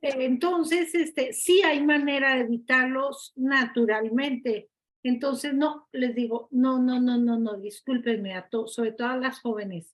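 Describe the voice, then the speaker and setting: The speaker talks at a fairly slow pace with hardly any pauses. The pitch varies in an ordinary way. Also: woman, high pitch for a woman. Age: 60s. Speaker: participant in a religious study group. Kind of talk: group discussion. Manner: emphatic.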